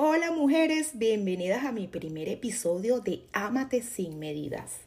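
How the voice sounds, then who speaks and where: A woman's dark, mellow, somewhat breathy voice with very wide pitch swings. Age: 40s. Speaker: podcast host. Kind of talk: personal monologue.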